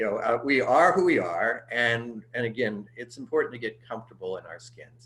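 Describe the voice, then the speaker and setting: A man talks with a Midwestern American accent. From US Midwest (Cincinnati and St. Louis). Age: 60s. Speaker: pastor. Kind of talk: interview conversation. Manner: halting, many fillers.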